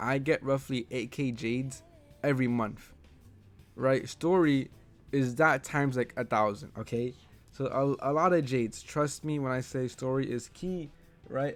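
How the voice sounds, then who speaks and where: Music plays behind a man talking. He speaks at a fairly slow pace and medium pitch. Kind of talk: gaming guide talk to camera. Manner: stuttering; casual.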